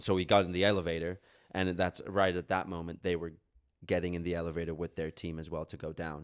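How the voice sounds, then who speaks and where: On a very clean recording with a silent background, a man speaks with a very deep, low pitch and fairly even intonation. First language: Catalan. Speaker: podcast co-host. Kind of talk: casual chat. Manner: halting, many fillers.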